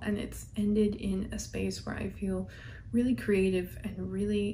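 A woman at a very slow pace, with light background noise. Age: 20s. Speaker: beauty vlogger. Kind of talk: casual monologue while doing makeup. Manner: chatty, laughing. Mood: warm, reflective. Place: home room.

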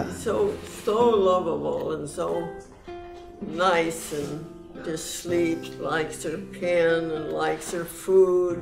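A woman talks at a very slow pace over noticeable background noise. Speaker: centenarian interviewee. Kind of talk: interview answer. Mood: warm, affectionate. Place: home room.

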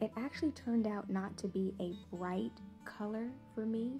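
A soft-spoken woman talks in a calm, soothing tone at a fairly slow pace. Music plays in the background. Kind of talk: ASMR product review to camera. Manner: soft-spoken, calm, soothing.

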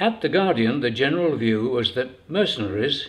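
A man's voice with very wide pitch swings at a fairly slow pace. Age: 80s+. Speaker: former mercenary leader. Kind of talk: book reading. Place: home room.

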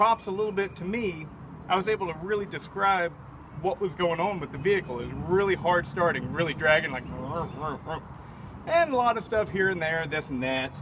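A man talks at a fairly quick pace with a high pitch and ordinary pitch variation. Noticeable background noise runs under the recording. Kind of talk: casual vlog chat. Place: open country.

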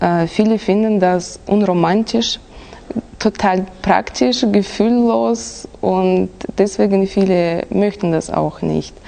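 A woman at medium pitch speaks at a very slow pace. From Kazakhstan. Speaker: exam candidate. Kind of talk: oral language exam. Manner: halting.

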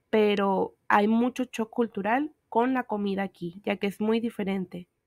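A woman with an ordinary speaking voice talks at a moderate pace with a fairly high pitch and ordinary pitch variation, in a dry, close sound with no echo. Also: very clean recording, silent background. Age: 20s. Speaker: exchange student vlogger. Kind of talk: narrated campus tour vlog.

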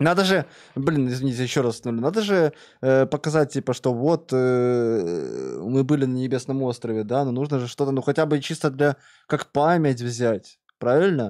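A dark, mellow tone at a moderate pace, with ordinary pitch variation over a quiet background. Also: man. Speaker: streamer. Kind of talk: casual stream commentary. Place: home room. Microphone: studio mic.

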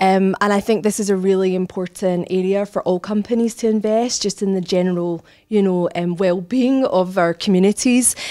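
Against a quiet background, a woman with a Scottish accent speaks fairly quickly with hardly any pauses, her dark, mellow, medium-pitched voice keeping very even loudness and fairly even intonation. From Scotland. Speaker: human resources director; interviewee. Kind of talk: interview. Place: office. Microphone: handheld.

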